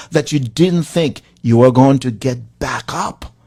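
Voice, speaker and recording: A man speaks with a Haitian accent. His tone is passionate and animated. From Haiti, rural village. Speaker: motivational speaking coach. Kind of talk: motivational talk. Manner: passionate, animated.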